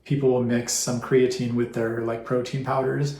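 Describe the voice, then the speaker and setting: Audible room echo surrounds a man speaking at medium pitch in a monotone, flat intonation. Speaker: vlogger sharing personal health story. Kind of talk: personal testimony to camera. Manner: halting, trips over words; unscripted, many fillers.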